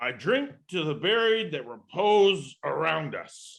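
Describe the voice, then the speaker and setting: In a put-on character voice, a man speaks fairly slowly at a high pitch. His pitch swings very widely. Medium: stage play. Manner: arrogant, scoffing.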